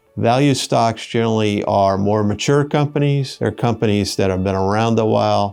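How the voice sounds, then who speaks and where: A man's fairly low-pitched voice is heard with music going in the background. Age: 60s. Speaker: investment advisor. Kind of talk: explainer talk to camera. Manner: casual, with filler hesitations.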